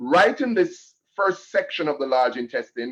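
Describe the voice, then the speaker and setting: The speaker is a man. He goes at a fairly slow pace with ordinary pitch variation. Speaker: health educator. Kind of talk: health lecture.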